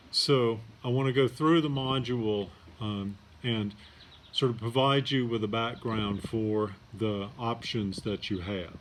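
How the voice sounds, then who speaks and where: Against noticeable background noise, a soft-spoken voice moves at a fairly slow pace with fairly even intonation. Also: man. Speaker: college professor. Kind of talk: lecture. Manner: hesitant, many fillers.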